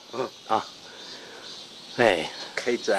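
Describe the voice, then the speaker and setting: This man speaks with a Henan accent. The sound is dry with no echo, over light background noise. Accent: Henan dialect Mandarin. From Henan, China (Dengfeng); Henan, China. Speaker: martial arts grandmaster. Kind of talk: interview. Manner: halting. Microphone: lapel.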